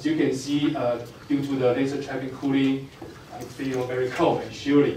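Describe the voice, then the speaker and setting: A man talks at a moderate pace in a monotone, flat intonation, with audible room echo and light background noise. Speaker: physics professor. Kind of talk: lecture. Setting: stage with audience. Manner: halting. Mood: light humor. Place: hall.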